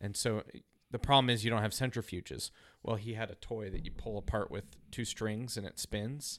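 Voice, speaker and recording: This voice has an American accent, vocal fry and fairly even intonation. The recording is very clean, with a silent background. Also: man, fairly low pitch for a man, fairly quick pace. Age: 30s. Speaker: podcast co-host. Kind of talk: casual chat.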